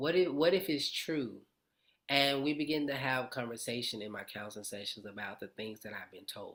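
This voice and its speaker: This man has a medium pitch, lively intonation, big swings in loudness and a moderate pace. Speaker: sound bath facilitator and live streamer. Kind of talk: live stream personal testimony.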